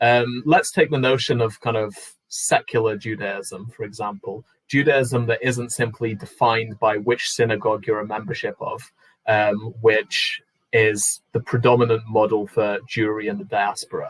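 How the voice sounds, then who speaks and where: In a British accent, a man talks at a mid-range pitch. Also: ordinary pitch variation, moderate pace. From UK. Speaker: panelist sharing immigration story. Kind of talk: personal talk on a panel.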